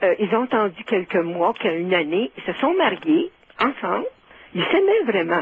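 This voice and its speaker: A woman with a fairly high voice speaks at a moderate pace, her pitch swinging very widely, with noticeable background noise behind her. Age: 70s. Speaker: caller. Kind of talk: phone-in storytelling.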